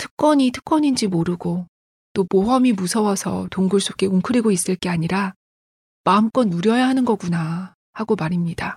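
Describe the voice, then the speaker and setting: A woman's somewhat breathy, warm voice sits at a medium pitch with ordinary variation and a moderate pace, the sound dry and close with no echo. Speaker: book podcast host and journalist. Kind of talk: reading aloud with commentary. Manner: warm, friendly.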